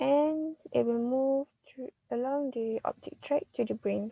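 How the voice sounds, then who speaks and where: The woman speaks high and fairly slowly. The sound is dry and close, with no echo. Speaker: physiotherapy student. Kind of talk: student class presentation.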